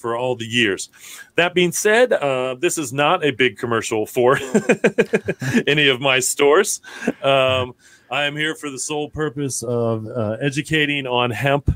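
Against a quiet background, a man talks at a fairly slow pace, his loudness swinging widely. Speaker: guest. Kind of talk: interview answer. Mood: relaxed, laughing at times. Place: office. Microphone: studio mic.

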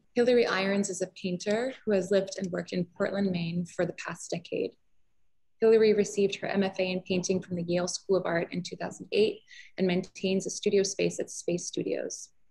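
A woman's dark, mellow, somewhat breathy voice in a flat monotone at a moderate pace, over a quiet background. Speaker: gallery host. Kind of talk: event introduction. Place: hall. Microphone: webcam.

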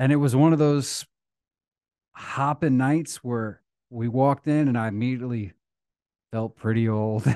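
A man speaks at a moderate pace with ordinary pitch variation. The background is quiet and the sound is dry, with no echo. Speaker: podcast co-host. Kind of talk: casual podcast chat, storytelling. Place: studio. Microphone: studio mic.

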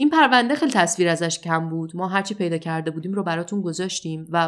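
This woman talks at a very fast pace. Her pitch is fairly low, with ordinary variation. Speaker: true crime podcaster. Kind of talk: storytelling narration.

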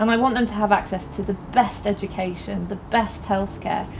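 The speaker has a southern English accent and keeps a moderate pace. Faint music plays in the background. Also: woman. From Milton Keynes, England; England. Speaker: local election candidate; election candidate. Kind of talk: campaign appeal. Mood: earnest, calm. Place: garden.

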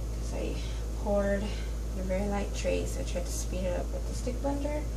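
A woman talks at a moderate pace while loud noise fills the background. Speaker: soap maker. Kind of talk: casual tutorial talk to camera. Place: workshop. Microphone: camera far.

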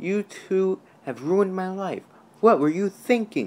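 A growling put-on character voice at middle pitch moves at a fairly slow pace. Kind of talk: scolding, indignant. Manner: growling, angry.

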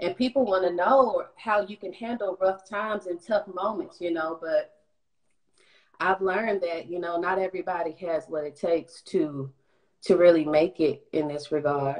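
Against a quiet background, a woman talks. Her pace is moderate and her pitch variation ordinary. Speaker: professional background singer. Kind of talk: casual interview. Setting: online live stream. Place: home room. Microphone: video call.

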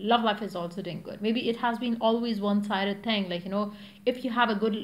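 A woman speaks at a fairly quick pace in a somewhat breathy voice. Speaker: tarot reader. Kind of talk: tarot reading monologue. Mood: calm, reassuring. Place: home room. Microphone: phone near.

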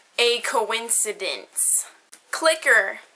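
With an American accent, a woman talks in a high pitch and a bright, sharp tone, her pitch varying in an ordinary way. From United States. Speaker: vlogger. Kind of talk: reading aloud; casual vlog chat, reading word list. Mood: playful, smiling. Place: home room. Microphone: webcam.

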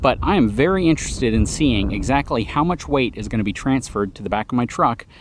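A man's vocal fry and very wide pitch swings, with light background noise. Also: dry sound with no echo. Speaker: truck reviewer. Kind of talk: tutorial. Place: open country.

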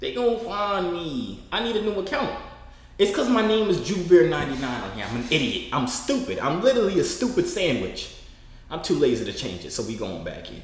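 Over audible room echo, a man with an American accent speaks at a fairly quick pace in an animated, playful tone, his loudness swinging widely. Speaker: online video creator chatting with strangers. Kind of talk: casual vlog chat. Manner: animated, playful, talks to his audience. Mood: self-mocking, playful frustration. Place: home room.

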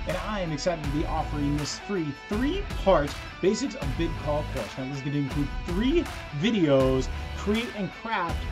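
A man speaks at a moderate pace while music plays clearly in the background. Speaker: world champion auctioneer and auctioneer coach. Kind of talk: promotional talk to camera, course advert. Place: studio.

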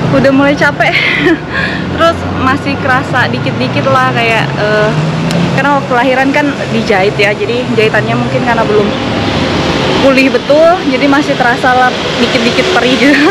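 Over loud background noise, a woman talks at a fairly quick pace. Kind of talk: casual interview answer. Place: street.

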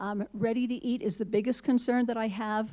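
A woman speaks at a fairly high pitch, somewhat breathy. Her tone is dark and mellow. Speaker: public commenter, resident. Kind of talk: public comment at meeting. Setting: city hall meeting.

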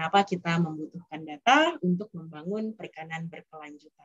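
In an unremarkable speaking voice, a woman talks at a fairly quick pace with a fairly low pitch and lively intonation against a quiet background. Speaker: NGO data specialist; webinar presenter. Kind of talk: webinar presentation. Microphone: video call.

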